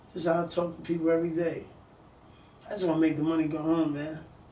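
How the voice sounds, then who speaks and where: A man with a fairly high pitch and a dark, mellow tone talks at a fairly quick pace, with audible room echo. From New York City (Bronx, Harlem). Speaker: music industry executive. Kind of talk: casual interview. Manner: casual, repetitive fillers.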